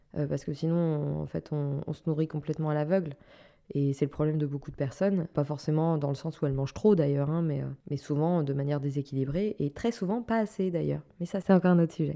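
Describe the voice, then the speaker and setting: A woman's very deep, low voice with a dark, mellow tone and ordinary pitch variation at a fairly quick pace, on a very clean recording with a silent background. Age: 30s. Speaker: wellness podcaster and former fitness instructor. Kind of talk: solo podcast monologue. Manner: casual, conversational with filler words.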